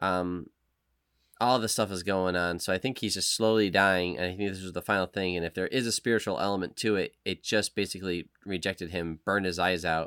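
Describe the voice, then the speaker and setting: Fairly low in pitch, a man with an ordinary speaking voice talks at a moderate pace with fairly even intonation. The sound is dry and close, with no echo. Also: very clean recording, silent background. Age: 40s. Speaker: podcast host. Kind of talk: casual chat.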